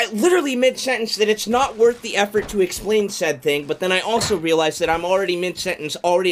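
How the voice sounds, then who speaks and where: Very fast speech comes from a man with lively intonation. Light background noise sits behind him. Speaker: gaming streamer. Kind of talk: live gameplay stream; casual stream commentary. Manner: stutters mid-sentence. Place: home room. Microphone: studio mic.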